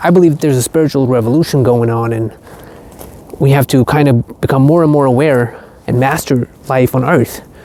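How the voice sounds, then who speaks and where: Moderate pace against noticeable background noise. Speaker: spiritual content creator. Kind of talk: vlog monologue. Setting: outdoors. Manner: slightly halting.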